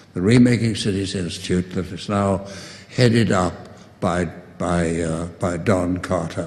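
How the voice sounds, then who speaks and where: The speech comes at a fairly slow pace with fairly even intonation and audible room echo. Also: man, very deep, low pitch for a man. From South Africa. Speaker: distinguished professor of urban studies. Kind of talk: closing remarks speech. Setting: conference podium with audience. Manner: halting, many fillers and repetitions.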